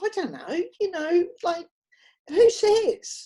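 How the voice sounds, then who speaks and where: A woman's voice in a dark, mellow tone. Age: 70s. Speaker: lifestyle vlogger and counsellor. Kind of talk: casual monologue to camera. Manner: animated; rambling with fillers.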